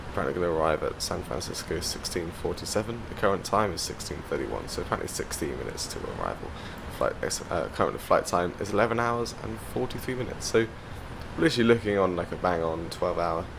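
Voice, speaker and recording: A man talking at a very fast clip, with noticeable background noise and audible room echo. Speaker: flight sim YouTuber. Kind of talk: gameplay commentary. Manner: loud.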